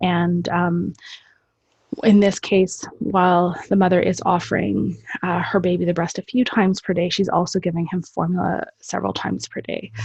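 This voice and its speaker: A woman with a fairly low pitch sounds somewhat breathy and keeps a fairly even intonation. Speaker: lactation specialist presenter. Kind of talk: webinar presentation. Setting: online webinar. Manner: hesitant, many fillers.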